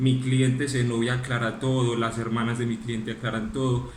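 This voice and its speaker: Audible room echo surrounds a man's medium-pitched voice. His intonation is monotone and flat. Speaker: lawyer. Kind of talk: closing argument in court hearing. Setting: virtual court hearing, video call. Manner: fast; formal.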